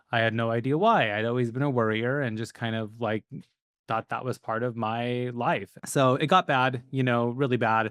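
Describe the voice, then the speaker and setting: A man talks in an ordinary speaking voice at a medium pitch and moderate pace, with fairly even intonation. The recording is very clean with a silent background and a dry, close sound with no echo. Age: 40s. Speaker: business coach. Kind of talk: podcast interview.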